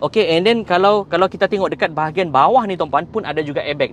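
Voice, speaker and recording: Speech comes at a fairly quick pace with light background noise behind it. The sound is dry, with no echo. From Malaysia. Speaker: car sales coordinator. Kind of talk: live stream car review and sales pitch. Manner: code-switching Malay and English. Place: shop. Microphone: phone near.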